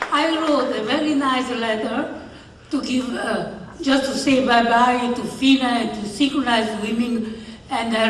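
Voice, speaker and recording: A woman with an Italian accent and a high voice speaks at a fairly slow pace, with audible room echo and noticeable background noise. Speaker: award recipient, sports official. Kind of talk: acceptance speech.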